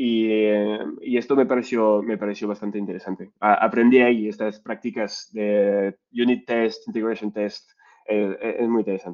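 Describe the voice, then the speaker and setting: Monotone, flat intonation at a moderate pace. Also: man, fairly low pitch for a man. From France. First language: French (speaking Spanish). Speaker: data science lead. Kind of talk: interview.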